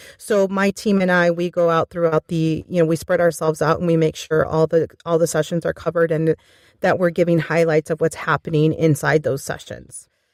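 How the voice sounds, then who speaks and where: A woman's fairly low voice in a Spanish accent, monotone and flat, at a fairly quick pace, in a dry, close sound with no echo and a very clean recording with a silent background. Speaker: voiceover conference director. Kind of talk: podcast interview.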